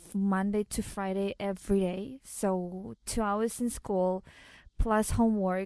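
A woman's dark, mellow voice in a Russian accent, fairly slow and fairly even in intonation, dry and close with no echo against a quiet background. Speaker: model and actress. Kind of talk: interview.

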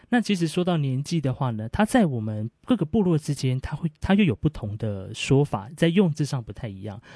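The voice is dark, mellow and somewhat breathy, with very wide pitch swings at a fairly quick pace, in a dry, close sound with no echo against a quiet background. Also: man, fairly high pitch for a man. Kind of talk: explanatory talk.

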